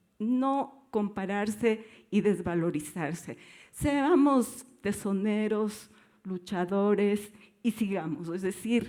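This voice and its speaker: A woman's dark, mellow tone at a medium pitch, with ordinary pitch variation and a very slow pace. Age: 70s. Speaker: dancer and dance teacher. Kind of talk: panel discussion.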